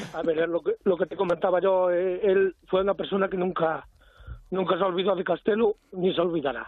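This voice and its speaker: Flat and monotone, a man with a high voice speaks at a moderate pace. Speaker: friend from hometown. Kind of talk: casual chat.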